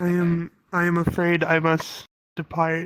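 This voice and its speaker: This is a put-on character voice at a middle pitch and moderate pace. The intonation stays monotone and flat. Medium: actual play. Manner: formal, stiff phrasing.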